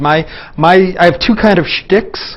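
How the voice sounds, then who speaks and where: Noticeable background noise sits behind a man whose voice is high in pitch, with ordinary pitch variation. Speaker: physicist lecturer. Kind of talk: lecture. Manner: fast.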